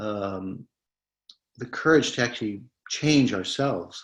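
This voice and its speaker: This man's medium pitch comes with a fairly slow pace. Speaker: medical professor and mindfulness educator. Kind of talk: webinar Q&A. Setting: webinar. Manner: hesitant, many fillers.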